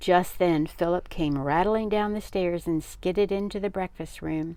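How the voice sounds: With a dark, mellow tone, a woman speaks at a fairly slow pace in a fairly low pitch, her pitch varying in an ordinary way.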